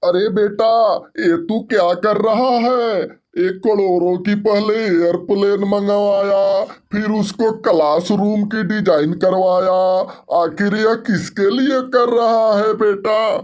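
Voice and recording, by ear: This man performs a cartoonish character voice with a high pitch. He talks at a fairly slow pace.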